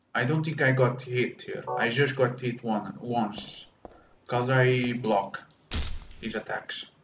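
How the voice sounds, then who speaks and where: This man talks at a very slow pace with a medium pitch. Noticeable background noise sits behind him. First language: Portuguese. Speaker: gaming streamer. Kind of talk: live gameplay commentary. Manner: animated.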